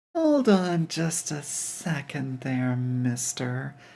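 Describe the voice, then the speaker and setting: In a put-on character voice, the speaker growls at a very slow pace with a low-to-middle pitch. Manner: growling, stern.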